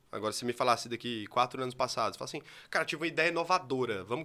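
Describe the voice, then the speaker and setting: A man with a medium pitch, a bright, sharp tone, lively intonation and a very fast pace on a very clean recording with a silent background. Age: 20s. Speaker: digital marketing entrepreneur. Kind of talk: interview conversation. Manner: fast, speeds up when excited; animated.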